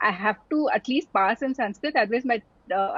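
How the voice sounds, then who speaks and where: Noticeable background noise fills the clip. Over it, a woman speaks at a very fast pace. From India, Tamil family, army postings. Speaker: doctor and entrepreneur. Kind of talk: interview conversation. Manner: hesitant, many fillers.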